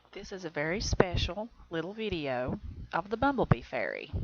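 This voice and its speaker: A woman with an Appalachian accent speaks at a fairly slow pace in a medium pitch. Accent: Southern US, Appalachian. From Southern United States. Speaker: self-taught painter. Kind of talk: narrated painting video, casual talk. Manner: casual, chatty, hesitant.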